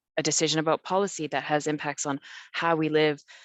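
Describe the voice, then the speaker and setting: With a Canadian accent, a woman talks at a very fast pace in a very deep, low pitch. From Canada. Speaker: city council climate coordinator. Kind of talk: panel discussion. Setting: webinar video call.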